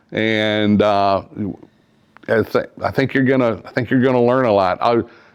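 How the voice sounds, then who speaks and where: Using an ordinary speaking voice, a man holds a medium pitch, varies it in an ordinary way, and keeps a moderate pace. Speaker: podcast host. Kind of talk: casual podcast interview talk.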